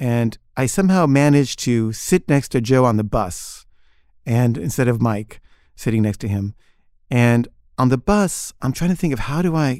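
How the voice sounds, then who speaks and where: In a very clean recording with a silent background, a man of medium pitch talks at a moderate pace with lively intonation and long, frequent pauses. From Switzerland (moved to US around age 12). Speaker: storyteller. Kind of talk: personal anecdote. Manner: casual, halting with repeated words.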